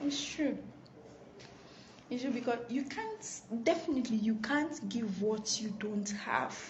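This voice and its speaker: A woman with a Nigerian accent speaks quietly at a fairly slow pace, high-pitched with ordinary pitch variation and long, frequent pauses. Noticeable background noise and audible room echo fill the recording. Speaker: live stream host. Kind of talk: live stream talk. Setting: office. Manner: quiet, subdued.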